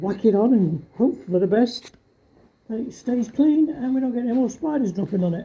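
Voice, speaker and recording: With a British accent, the speaker talks at a moderate pace in a relaxed tone. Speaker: car DIY vlogger. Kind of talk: casual DIY vlog narration. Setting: home garage. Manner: casual, relaxed.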